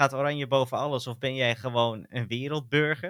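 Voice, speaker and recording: A man with a bright, sharp tone talks at a fairly quick pace in a very clean recording with a silent background and a dry, close sound with no echo. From Netherlands. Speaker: podcast co-host. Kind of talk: casual chat.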